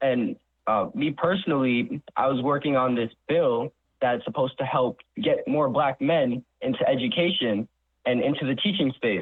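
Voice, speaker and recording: An ordinary speaking voice with an American accent moves at a moderate pace, with ordinary pitch variation and very even loudness. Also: man, fairly high pitch for a man. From New York. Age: 20s. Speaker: college student intern. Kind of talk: radio interview.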